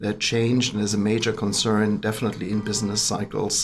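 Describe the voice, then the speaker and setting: With a German accent, someone is talking. The delivery is moderately paced. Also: man. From Germany. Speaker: business chamber president. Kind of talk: podcast interview. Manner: hesitant, many fillers.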